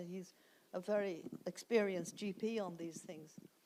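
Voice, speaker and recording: A woman speaks with a Dublin accent at a fairly slow pace. Her intonation stays fairly even. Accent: Dublin Irish. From Ireland, Dublin. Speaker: author and festival speaker. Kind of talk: festival talk Q&A. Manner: halting, many fillers.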